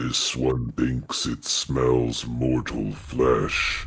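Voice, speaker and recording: A man puts on a character voice that is very deep and raspy, speaking in a flat monotone at a very slow pace. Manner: menacing, sniffing.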